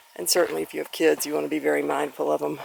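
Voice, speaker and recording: Through noticeable background noise, a woman's voice comes across dry and close, with no echo. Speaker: hiker vlogger. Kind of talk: outdoor vlog narration. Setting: outdoors on a mountain trail. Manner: loud to warn a bear.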